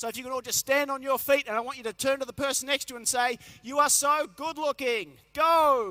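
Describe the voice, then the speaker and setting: An animated man with an Australian accent, raised and projected, bright and sharp in tone, at a very fast pace, in a dry, close sound with no echo. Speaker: motivational health speaker. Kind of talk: keynote talk to a live audience. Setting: conference stage with large audience.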